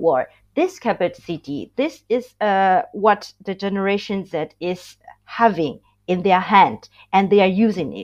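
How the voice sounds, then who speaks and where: A woman with a Burmese accent speaks at a medium pitch and a fairly slow pace against a quiet background. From Myanmar. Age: 20s. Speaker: student activist. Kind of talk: podcast interview.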